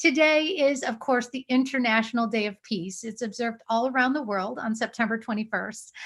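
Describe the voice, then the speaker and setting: A woman with a normal speaking voice, fairly high pitch, ordinary pitch variation and a fairly quick pace. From United States. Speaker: TV host and journalist. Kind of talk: live event hosting. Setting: video call.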